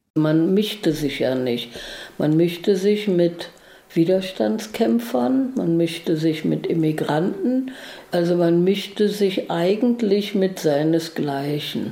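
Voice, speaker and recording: Very slow speech with very wide pitch swings and very even loudness. Audible room echo and noticeable background noise fill the recording. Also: woman, fairly low pitch for a woman. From New York, then East Berlin. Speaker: interviewee, contemporary witness. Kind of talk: interview.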